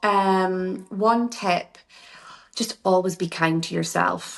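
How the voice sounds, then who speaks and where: The speech has fairly even intonation and comes in a Scottish accent. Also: woman. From Scotland. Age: 40s. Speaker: beauty therapist and workshop founder. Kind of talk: podcast interview. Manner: chatty, informal.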